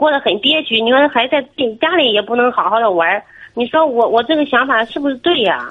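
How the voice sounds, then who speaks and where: A woman speaks in a high voice at a fairly quick pace. Her loudness stays very even. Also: lively intonation. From Shandong, near Jinan. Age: 30s. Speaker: caller. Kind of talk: phone-in advice talk.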